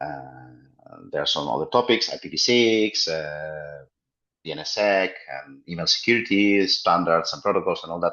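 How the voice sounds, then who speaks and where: A man speaks with a Spanish accent. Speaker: routing security program representative. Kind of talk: online community meeting presentation. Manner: hesitant, many fillers.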